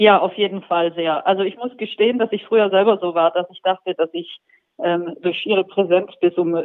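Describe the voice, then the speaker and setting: At a moderate pace, a woman talks in a normal speaking voice. Her pitch is medium, with fairly even intonation. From Swabia, southern Germany. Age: 40s. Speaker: magazine editor-in-chief. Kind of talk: interview.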